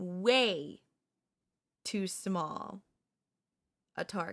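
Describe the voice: A woman uses a put-on character voice, fairly low in pitch with ordinary pitch variation and a fairly bright tone. She talks at a very slow pace.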